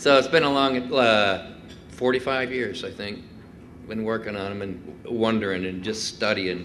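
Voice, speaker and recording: Recorded with audible room echo, a man talks at a fairly slow pace with big swings in loudness. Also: medium pitch for a man, ordinary pitch variation. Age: 60s. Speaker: guitar maker. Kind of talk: talk with audience Q&A. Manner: hesitant, many fillers.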